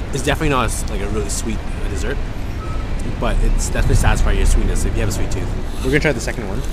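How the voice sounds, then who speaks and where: Over music in the background, a man speaks at a very fast pace. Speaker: travel food vlogger. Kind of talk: casual vlog chat. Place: street. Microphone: phone near.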